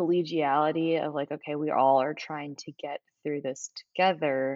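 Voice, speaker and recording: A woman speaks at a very deep, low pitch and a fairly slow pace. Her intonation is monotone and flat. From Nashville, Tennessee. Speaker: law student. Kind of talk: interview.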